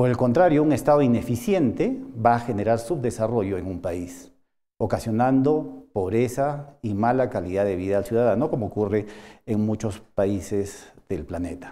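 Lively in intonation, a man talks at a medium pitch in a dark, mellow tone. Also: moderate pace. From Peru. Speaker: university lecturer. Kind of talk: course introduction lecture. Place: studio.

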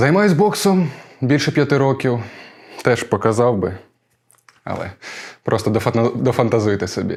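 A somewhat breathy man's voice with very wide pitch swings, a moderate pace and long, frequent pauses. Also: medium pitch for a man. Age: 20s. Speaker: stage actor. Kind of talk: actor self-presentation.

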